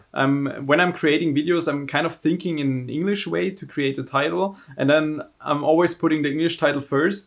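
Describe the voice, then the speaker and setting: A man with a German accent talks at a fairly high pitch, with hardly any pauses. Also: fairly even intonation, moderate pace. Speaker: overclocker and tech entrepreneur. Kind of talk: casual interview.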